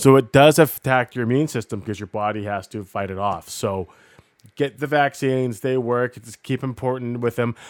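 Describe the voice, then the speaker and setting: A man with a normal speaking voice, moderate pace, ordinary pitch variation and big swings in loudness. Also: medium pitch for a man, very clean recording, silent background. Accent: Canadian. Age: 40s. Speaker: podcast co-host. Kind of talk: casual chat. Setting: studio.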